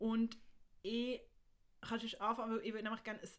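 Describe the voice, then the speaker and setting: A woman's voice, fairly high in pitch. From Switzerland, Bern. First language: Swiss German (speaking German). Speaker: podcast co-host. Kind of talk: casual chat.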